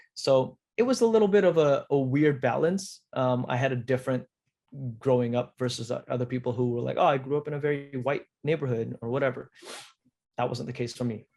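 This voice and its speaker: A man talks at a fairly quick pace with a Southern California accent, his medium-pitched voice dark and mellow in tone, with ordinary pitch variation. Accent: Southern California American English. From Indonesia, then Cerritos, California from age nine. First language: Indonesian. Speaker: actor. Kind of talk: interview. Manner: casual with many fillers and restarts.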